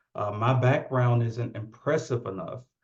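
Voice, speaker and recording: Man with a Southern US accent, medium pitch, fairly even intonation and a somewhat breathy voice. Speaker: occupational therapist, keynote speaker. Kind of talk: keynote speech. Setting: virtual event.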